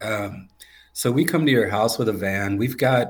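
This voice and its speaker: In an American accent, a man talks with a normal speaking voice. His pitch is fairly low and his pace moderate. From North Carolina, near Raleigh. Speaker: flooring business owner, army veteran. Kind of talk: casual interview.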